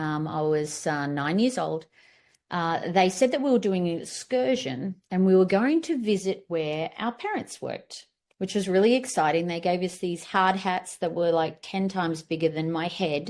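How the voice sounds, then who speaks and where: A woman with an Australian accent talks at a moderate pace. Her pitch is medium with ordinary pitch variation. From Australia, far north Queensland. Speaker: business founder and workshop presenter. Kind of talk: workshop presentation. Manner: casual with filler words.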